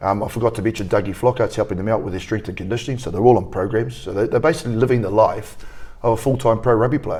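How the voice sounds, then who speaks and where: Speaking very fast with a New Zealand accent, a man has a fairly low pitch and a somewhat breathy voice. His intonation stays fairly even. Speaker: rugby academy coach. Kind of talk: interview.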